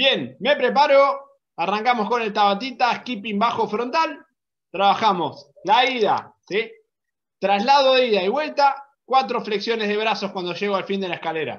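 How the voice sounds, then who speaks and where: An energetic man speaks at a high pitch with ordinary pitch variation. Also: moderate pace. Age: 30s. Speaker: fitness coach. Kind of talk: online workout class. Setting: video call. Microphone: video call.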